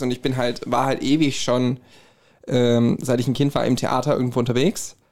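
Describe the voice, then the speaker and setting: A man with a slight Hessian accent, medium pitch and fairly even intonation, on a very clean recording with a silent background. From Hesse, Herborn. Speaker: musician and podcaster. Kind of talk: casual chat.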